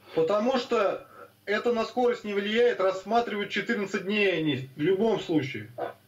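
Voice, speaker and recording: Noticeable background noise behind a man's high-pitched voice, fairly slow, with ordinary pitch variation. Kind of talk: casual chat. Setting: video call.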